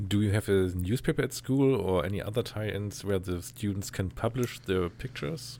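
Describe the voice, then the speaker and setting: With a German accent, a man talks at a moderate pace with hardly any pauses, his dark, mellow tone sitting fairly low in pitch with ordinary pitch variation. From Germany. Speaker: photographer and podcaster. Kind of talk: interview.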